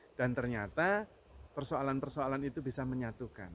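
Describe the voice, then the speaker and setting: A man with a strong Javanese accent at a moderate pace. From Java, Indonesia. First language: Javanese (speaking Indonesian). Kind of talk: spiritual reflection.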